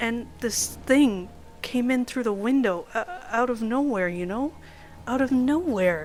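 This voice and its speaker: In a put-on character voice, a woman speaks at a fairly slow pace with a fairly high pitch, a panicked, strained tone and lively intonation, over clear background noise. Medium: read story. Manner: breathless, panicked.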